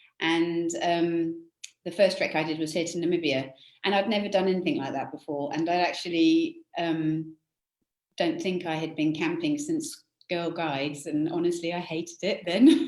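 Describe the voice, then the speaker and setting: Fairly even intonation at a moderate pace, with a strong British accent. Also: woman, fairly low pitch for a woman. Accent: British, still fairly strong. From England, UK. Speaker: conservation charity director. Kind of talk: interview.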